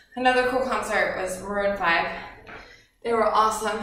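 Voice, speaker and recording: A woman's voice with ordinary pitch variation and audible room echo. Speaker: home fitness instructor. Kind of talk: workout instruction and casual chat. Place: home room. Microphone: camera far.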